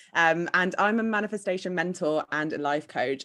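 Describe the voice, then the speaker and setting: A woman at a moderate pace with ordinary pitch variation, in a very clean recording with a silent background. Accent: British. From UK. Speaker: manifestation coach. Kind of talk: podcast interview.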